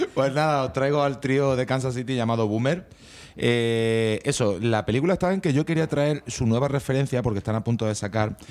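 A man speaks in a normal speaking voice at a moderate pace with ordinary pitch variation, on a very clean recording with a silent background. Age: 40s. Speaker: radio co-host presenting music. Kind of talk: casual radio chat.

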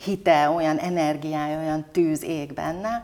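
This woman's voice is pitched very deep and low. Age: 50s. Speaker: business leader and women's leadership club president. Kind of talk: interview. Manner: animated.

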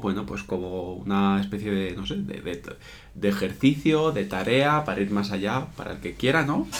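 A man speaks with a fairly low pitch, and the room echo is audible. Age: 30s. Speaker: podcast co-host. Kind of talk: casual chat. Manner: hesitant, many fillers.

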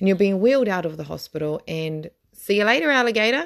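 A woman with a New Zealand accent, medium pitch, very wide pitch swings and a very fast pace. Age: 30s. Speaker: podcast host. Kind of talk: casual monologue. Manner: halting.

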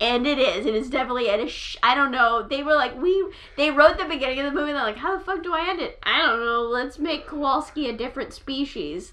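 In an American accent, a woman's high, bright and sharp voice is raised and projected, animated in tone with ordinary pitch variation, racing at a very fast pace with hardly any pauses. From California. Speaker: podcast co-host. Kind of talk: casual chat.

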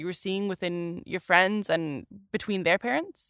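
A woman with an American accent speaks in a bright, sharp tone, the sound dry and close with no echo and the recording very clean over a silent background. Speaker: podcast host, cellist. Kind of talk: casual chat. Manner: halting, many fillers.

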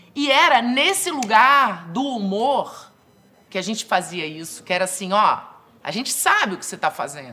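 A woman's fairly high voice at a moderate pace, with very wide pitch swings and noticeable background noise. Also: big swings in loudness. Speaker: actress and comedy writer. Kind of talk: testimony.

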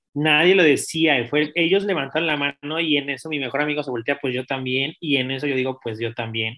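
A man talks at a fairly quick pace with hardly any pauses, fairly high in pitch, with ordinary pitch variation. It is an ordinary speaking voice. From Mexico City. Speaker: interview guest. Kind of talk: personal testimony.

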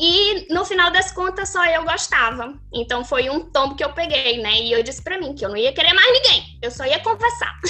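A woman speaks in a raised, projected voice at extremely high pitch, her pitch swinging very widely at a moderate pace with hardly any pauses, over noticeable background noise. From Manaus, northern Brazil. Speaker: social media influencer. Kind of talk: casual interview.

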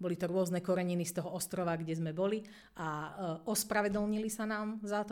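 Her pitch fairly low, a woman talks in a monotone with flat intonation. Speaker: English teacher, deputy head. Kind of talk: interview.

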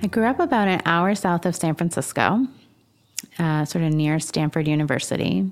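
A woman with an American accent and an unremarkable speaking voice, fairly low in pitch, at a moderate pace with very even loudness and ordinary pitch variation. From US West Coast, northern California. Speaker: leadership expert and author. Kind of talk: interview conversation.

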